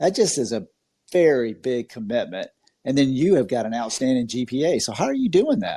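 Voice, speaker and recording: In a slight Southern US accent, a man with a medium pitch and a dark, mellow tone talks at a fairly quick pace with lively intonation. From Georgia, US South. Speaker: podcast host. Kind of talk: interview. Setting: online audio room. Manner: animated.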